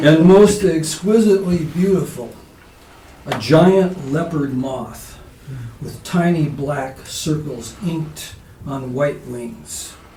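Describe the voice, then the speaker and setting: A man with a fairly high pitch speaks at a very slow pace, with ordinary pitch variation and big swings in loudness. Noticeable background noise can be heard. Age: 70s. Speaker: poet. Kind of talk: poetry reading; casual spoken introduction. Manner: halting with fillers.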